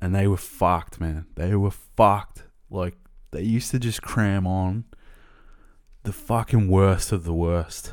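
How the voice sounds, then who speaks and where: Speaking at a fairly slow pace with long, frequent pauses, a man uses a very deep, low pitch and fairly even intonation. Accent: Australian. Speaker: podcast host. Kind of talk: casual storytelling monologue.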